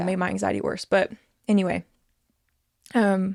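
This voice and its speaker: On a very clean recording with a silent background, a woman of medium pitch speaks with a Southern US accent in a monotone, flat intonation. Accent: Southern American. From American South. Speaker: nurse, comedian. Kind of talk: interview answer.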